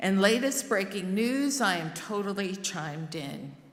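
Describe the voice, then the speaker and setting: With an American accent, a woman speaks at a medium pitch and a fairly slow pace, amid audible room echo and noticeable background noise. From New Jersey, Newark. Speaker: lay worship service leader. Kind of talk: sermon.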